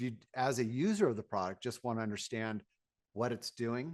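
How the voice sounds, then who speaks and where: The background stays quiet. Speaking at a fairly quick pace, a man uses ordinary pitch variation. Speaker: sales executive presenting products. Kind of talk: webinar presentation. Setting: online webinar. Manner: fast; frequent filler words.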